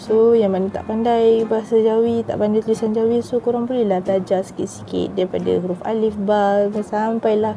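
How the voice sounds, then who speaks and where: Over noticeable background noise, a woman talks at a moderate pace in a monotone, flat intonation. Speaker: YouTuber teaching Malay dialect. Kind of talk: casual talk to camera.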